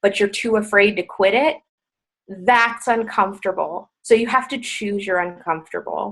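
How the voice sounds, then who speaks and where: A woman speaks at medium pitch in an ordinary speaking voice. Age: 20s. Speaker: fitness business coach. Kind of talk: motivational talk on team call. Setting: conference call.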